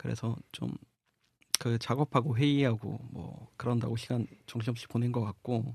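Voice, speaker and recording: Somewhat breathy, a man speaks at a moderate pace in a medium pitch with fairly even intonation. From South Gyeongsang, Korea (Samcheonpo). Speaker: magazine editor, podcast co-host. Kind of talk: casual chat.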